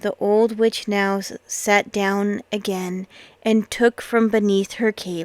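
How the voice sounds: The speaker uses a natural reading voice. The intonation stays fairly even.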